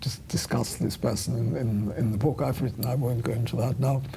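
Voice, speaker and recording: A woman with a German accent speaks at a very deep, low pitch, with audible room echo and noticeable background noise. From Vienna, Austria, raised in England from childhood. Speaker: retired journalist, Holocaust survivor. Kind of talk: interview.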